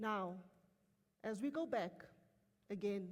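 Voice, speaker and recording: With a South African accent, a woman speaks very slowly in a somewhat breathy voice with lively intonation. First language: Afrikaans. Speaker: company executive. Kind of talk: motivational speech to staff. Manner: animated.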